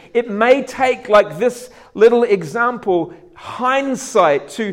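A man's high-pitched voice at a very slow pace. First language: not English. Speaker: preacher. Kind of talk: sermon.

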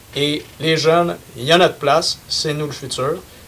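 Against noticeable background noise, a man talks at a fairly slow pace and a fairly high pitch. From Quebec, Saint-Charles-sur-Richelieu. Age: young. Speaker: youth party representative. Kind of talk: casual panel discussion.

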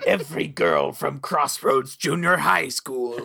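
This is a put-on character voice, raspy in sound. It has a low-to-middle pitch and a fairly slow pace. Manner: grouchy.

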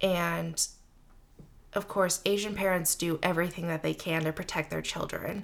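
A woman with a General American accent speaks at a moderate pace in a fairly low pitch, her intonation monotone and flat, with vocal fry. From Seattle, US. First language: Mandarin Chinese. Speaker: guest, works in theater. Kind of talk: casual interview chat.

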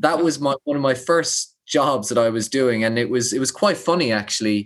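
Someone speaks at a moderate pace in an Irish accent, recorded very cleanly against a silent background. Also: man. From Ireland. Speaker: public speaker and founder. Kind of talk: casual interview.

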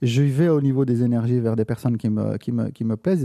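A dark, mellow tone with a dry, close sound with no echo, on a very clean recording with a silent background. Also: man. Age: 50s. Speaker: photographer. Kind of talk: interview. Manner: halting.

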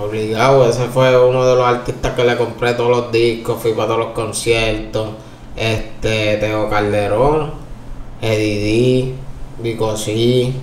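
Amid noticeable background noise and audible room echo, a man speaks at medium pitch and a fairly slow pace in monotone, flat intonation. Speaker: reggaeton singer. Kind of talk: interview.

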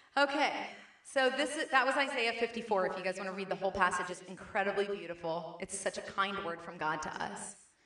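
At a medium pitch, a woman speaks at a fairly quick pace over noticeable background noise. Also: lively intonation. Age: 40s. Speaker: preacher. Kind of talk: sermon. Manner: halting.

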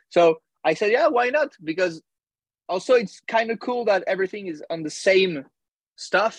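Speaking in a French accent, a man uses lively intonation at a moderate pace, in a dry, close sound with no echo. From France, near Paris. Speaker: musician. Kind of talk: interview. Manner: halting.

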